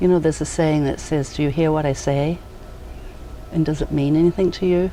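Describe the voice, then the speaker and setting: A woman with a New Zealand accent, very deep and low in pitch, at a fairly quick pace, in a flat monotone with very even loudness, over noticeable background noise. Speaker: educator. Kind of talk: casual interview. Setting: outdoors on a back deck.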